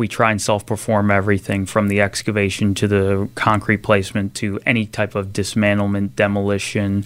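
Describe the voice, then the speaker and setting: With hardly any pauses, a man speaks at a moderate pace in a Philadelphia accent, his fairly low pitch held in a monotone, flat intonation. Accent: Philadelphia-area American. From southern New Jersey (Salem County). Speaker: construction company executive. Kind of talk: interview.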